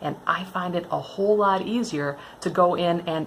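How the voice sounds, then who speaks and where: A woman's ordinary speaking voice, fairly low in pitch, at a moderate pace with ordinary pitch variation. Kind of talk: tutorial talk to camera. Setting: indoors, hail on the roof.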